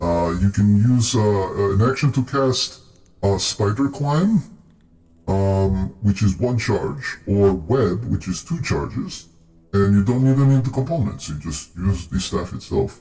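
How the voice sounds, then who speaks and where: Over faint music, a man puts on a character voice that is fairly low in pitch and delivered at a fairly slow pace. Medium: actual play. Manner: explanatory, thoughtful.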